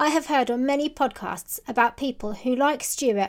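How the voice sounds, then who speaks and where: At a fairly quick pace, a woman talks in a high pitch with ordinary pitch variation, on a very clean recording with a silent background. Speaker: podcast host and dog groomer. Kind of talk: scripted intro then interview chat.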